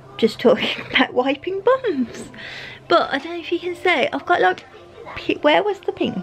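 A woman talks at a moderate pace with an extremely high pitch. Faint music plays in the background. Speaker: vlogger. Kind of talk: casual vlog chat.

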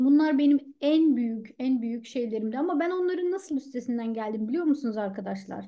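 A woman with a high pitch and lively intonation speaks at a moderate pace over a quiet background. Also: hardly any pauses. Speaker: author and public speaker; public speaker. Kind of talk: mentoring talk. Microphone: earbuds.

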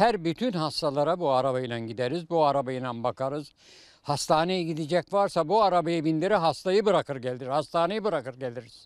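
A man's fairly high-pitched voice at a moderate pace, on a very clean recording with a silent background. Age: 80s+. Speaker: retired health worker. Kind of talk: interview answer.

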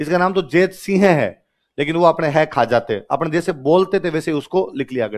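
Lively intonation from a man at a high pitch and moderate pace, against a quiet background. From Rajasthan, India. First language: Rajasthani (speaking Hindi). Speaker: teacher. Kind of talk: lecture. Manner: animated. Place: classroom. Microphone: headset.

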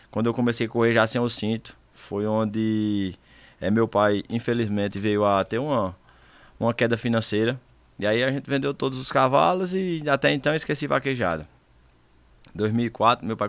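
Moderately paced speech with ordinary pitch variation comes through dry, with no echo. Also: man. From Brazilian Northeast (Pernambuco). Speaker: rodeo cowboy (vaquejada champion). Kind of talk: casual chat. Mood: calm, reflective. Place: studio. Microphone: studio mic.

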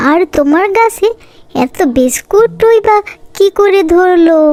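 A cartoonish character voice speaks at a fairly slow pace. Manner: lively, excitable.

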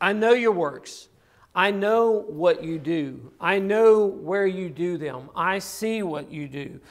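Against a quiet background, the speaker talks at a very slow pace with ordinary pitch variation and big swings in loudness. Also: man, high pitch for a man. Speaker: preacher. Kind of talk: sermon. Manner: earnest, pressing delivery with repeated emphatic phrases. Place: church.

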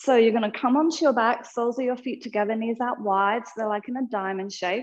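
A woman speaks in an Australian accent at a fairly high pitch. The background is quiet. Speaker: yoga teacher. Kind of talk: guided yoga class. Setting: online live class. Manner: calm, soothing. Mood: calm, soothing. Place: studio.

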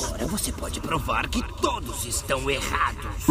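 Over loud background noise, a man puts on a shrill character voice at a moderate pace. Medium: audio drama. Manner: insistent, goading, sinister.

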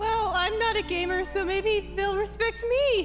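A squeaky, put-on character voice talks at a moderate pace. Loud music plays in the background. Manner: whiny, mopey.

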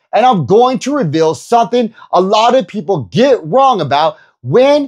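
Very wide pitch swings come at a moderate pace against a quiet background. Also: man. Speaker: personal trainer. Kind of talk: energetic youtube explainer. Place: home room. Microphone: lapel.

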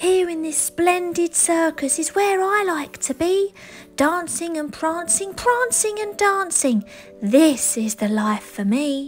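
A put-on character voice is raised and projected, moving at a fairly slow pace. Faint music plays in the background. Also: woman. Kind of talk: bedtime story. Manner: goofy, contented.

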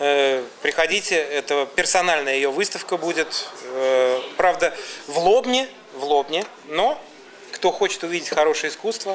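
A man with an unremarkable speaking voice talks at a fairly high pitch and a fairly slow pace. His intonation is lively over light background noise. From Samara, Volga region, Russia; Russia. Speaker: music and media producer; talk show guest. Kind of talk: casual talk show interview. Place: studio.

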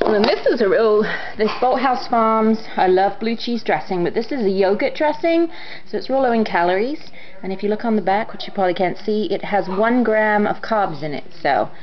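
A woman at a fairly quick pace, with light background noise. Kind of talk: casual vlog chat. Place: home room. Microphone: phone near.

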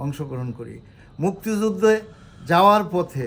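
The man's voice sits at a high pitch. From Bangladesh, Madaripur district. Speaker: war veteran. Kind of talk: interview testimony. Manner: halting.

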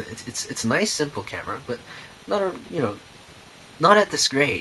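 A man talks fairly quickly amid noticeable background noise. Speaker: camera reviewer, show host. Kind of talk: casual talk to camera, camera review. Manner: casual, enthusiastic.

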